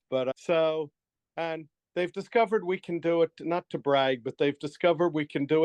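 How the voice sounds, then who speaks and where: A plain, everyday voice, this man talks at a moderate pace with ordinary pitch variation. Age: 60s. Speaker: writer and guest with superior memory. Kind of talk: interview.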